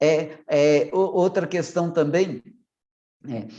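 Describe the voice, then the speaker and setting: Using ordinary pitch variation, the man speaks at a very slow pace. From Minas Gerais, Brazil. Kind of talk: online formation talk. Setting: online meeting. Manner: swallows syllables.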